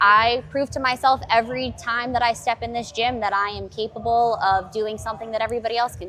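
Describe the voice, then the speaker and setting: Over music in the background, a woman speaks at a fairly quick pace in a fairly high pitch with monotone, flat intonation. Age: 30s. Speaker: gym member talking about fitness with chronic illness. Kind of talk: casual chat.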